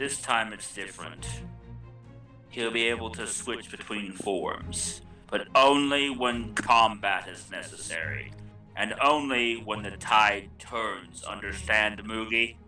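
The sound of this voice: Putting on a character voice, a man speaks slowly at a fairly low pitch, with a bright, sharp tone, ordinary pitch variation, and faint music in the background.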